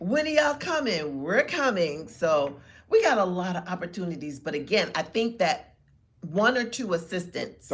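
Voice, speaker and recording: Her pitch swinging very widely, a woman talks at a moderate speed in a somewhat breathy voice. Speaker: podcast co-host. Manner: casual, talkative.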